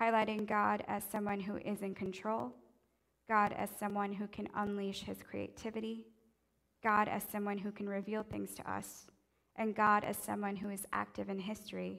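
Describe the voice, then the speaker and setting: In an ordinary speaking voice, a woman at medium pitch talks at a moderate pace with fairly even intonation. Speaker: preacher. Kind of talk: sermon with spoken prayer; fervent intercessory prayer. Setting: church. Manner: earnest, fervent, pleading; warm, reverent.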